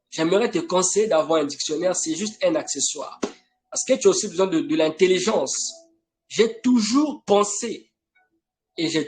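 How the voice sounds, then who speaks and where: Over music in the background, a man speaks at a high pitch and a moderate pace, with very wide pitch swings. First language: not French (an African language) (speaking French). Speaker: preacher. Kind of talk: sermon. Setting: online live broadcast. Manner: emphatic, insistent.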